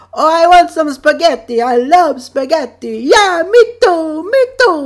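A high-pitched, put-on character voice takes its time at a fairly slow pace. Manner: eager, gleeful.

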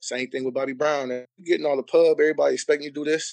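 A man with an American accent, recorded with a dry, close sound and no echo. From Cleveland, Ohio. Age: 30s. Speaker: basketball coach and former player. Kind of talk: casual chat.

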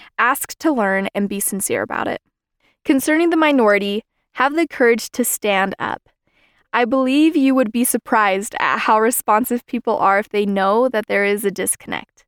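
In a very clean recording with a silent background, a woman has a normal speaking voice, a fairly high pitch and ordinary pitch variation. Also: moderate pace, dry, close sound with no echo. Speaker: student podcast host. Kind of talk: scripted narration.

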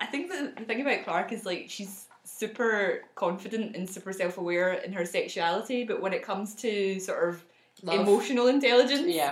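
With a slight Scottish accent, a woman speaks at a moderate pace and fairly high pitch with ordinary pitch variation and hardly any pauses, over noticeable background noise. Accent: mild Scottish. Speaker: podcast co-host.

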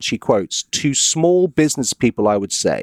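Recorded dry and close with no echo, a man with an American accent and a normal speaking voice talks at a moderate pace, his fairly high pitch moving with lively intonation. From US South. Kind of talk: casual chat, podcast, reading aloud an article.

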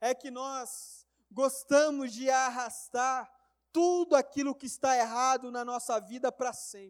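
On a very clean recording with a silent background, a man with an extremely high pitch speaks at a very slow pace, his intonation fairly even but with big swings in loudness. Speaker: preacher. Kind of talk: sermon. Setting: church. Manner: emphatic, repetitive preaching cadence, building momentum with rhetorical questions; earnest, exhorting the congregation.

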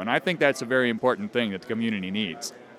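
A man speaks at a medium pitch. Noticeable background noise sits behind him. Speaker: hardware inventor and teacher. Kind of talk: interview at booth. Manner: halting, filler words.

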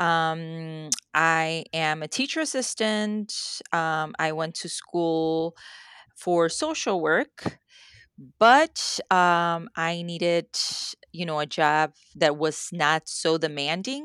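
A woman with a Spanish accent speaks at a very slow pace, her pitch varying in an ordinary way. The sound is dry and close with no echo, in a very clean recording with a silent background. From Mexico. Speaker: author. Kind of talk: casual interview chat.

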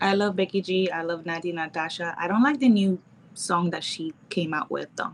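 A woman talks moderately fast, her pitch varying in an ordinary way, over noticeable background noise. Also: fairly low pitch for a woman. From Nicaragua. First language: Spanish. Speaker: model and mixologist. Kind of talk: casual chat. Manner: shy, laughs often.

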